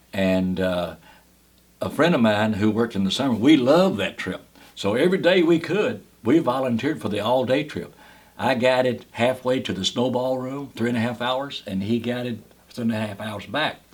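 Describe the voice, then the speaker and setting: A man in a Kentucky accent, with lively intonation at a moderate pace. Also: medium pitch for a man. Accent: Southern US, Kentucky. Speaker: cave guide, park ranger. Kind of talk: oral history interview answer.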